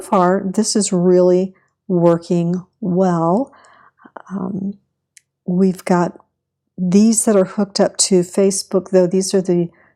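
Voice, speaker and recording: A woman of medium pitch, with a dark, mellow tone, speaks at a very slow pace. Her speech has long, frequent pauses. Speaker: teacher giving website feedback. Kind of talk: tutorial.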